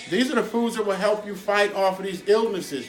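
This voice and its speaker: A man talks with a high pitch while noticeable background noise runs underneath. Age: 60s. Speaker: chef. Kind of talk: cooking tutorial. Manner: casual.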